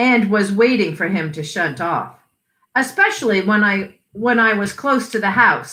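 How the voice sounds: Quiet background behind a natural reading voice.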